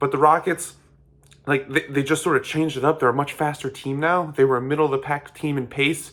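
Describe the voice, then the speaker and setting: This man talks at a fairly quick pace in a fairly high pitch with monotone, flat intonation. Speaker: sports commentator. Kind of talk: casual analysis monologue. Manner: fast; halting, repetitive fillers.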